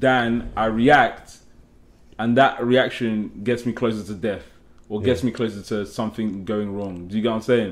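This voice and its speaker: A man speaks with an English accent. His pace is moderate and his pitch varies in an ordinary way. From England, Nigerian family. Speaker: podcast guest. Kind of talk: casual chat. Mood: earnest, explaining his view. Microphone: lapel.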